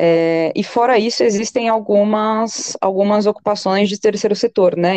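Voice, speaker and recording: Dark and mellow in tone, a woman's voice moves at a fairly slow pace with fairly even intonation in a dry, close sound with no echo. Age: 20s. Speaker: sociologist and teacher. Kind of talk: interview. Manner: hesitant, many fillers.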